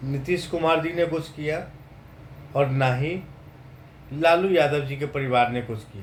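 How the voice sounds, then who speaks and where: Audible room echo surrounds a man's voice. He speaks at a fairly high pitch with ordinary pitch variation. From Bihar, India. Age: 30s. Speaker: vlogger. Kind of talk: political monologue.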